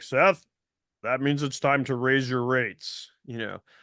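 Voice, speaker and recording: Against a quiet background, a man puts on a character voice at medium pitch, speaking fairly slowly with fairly even intonation. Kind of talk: advisory, matter-of-fact.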